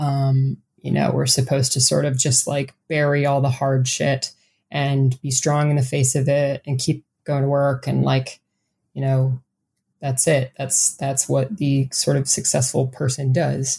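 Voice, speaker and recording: A woman's monotone, flat voice in an Upper Midwest accent, very deep and low in pitch, dark and mellow, somewhat breathy, fairly slow and very even in loudness. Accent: Upper Midwest American. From US Midwest, south central Wisconsin. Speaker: author. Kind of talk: interview. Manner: hesitant, frequent um fillers.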